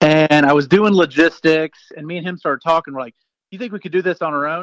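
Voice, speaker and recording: Recorded with a dry, close sound and no echo, a man with an American accent uses a normal speaking voice, fairly high in pitch and fairly even in intonation. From US South. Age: 40s. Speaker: entrepreneur. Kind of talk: interview.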